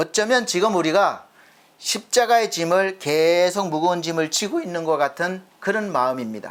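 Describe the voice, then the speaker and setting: An energetic man with a high pitch and lively intonation speaks at a moderate pace. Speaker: pastor. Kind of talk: sermon. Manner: lively, energetic delivery.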